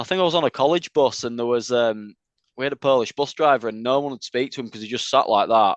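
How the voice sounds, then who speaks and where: A man with a Yorkshire accent talks at a very fast pace with ordinary pitch variation. The sound is dry and close, with no echo. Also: medium pitch for a man, quiet background. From Leeds, northern England. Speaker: metal band vocalist. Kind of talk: interview. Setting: video call.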